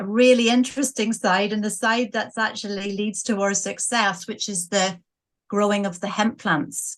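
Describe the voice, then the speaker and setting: A woman's medium-pitched voice with a Northern Irish accent. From Northern Ireland, Coleraine. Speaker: business owner. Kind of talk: interview.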